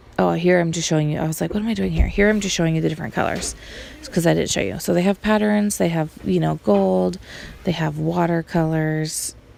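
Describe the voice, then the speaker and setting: Noticeable noise fills the background. Over it, a woman talks very fast. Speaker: social media tutorial maker. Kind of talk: tutorial. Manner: casual.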